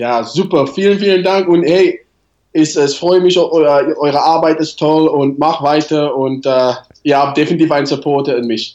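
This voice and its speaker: A man with a non-native accent, fairly high in pitch, at a moderate pace with ordinary pitch variation. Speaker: rugby national team coach. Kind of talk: interview. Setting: remote call. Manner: halting.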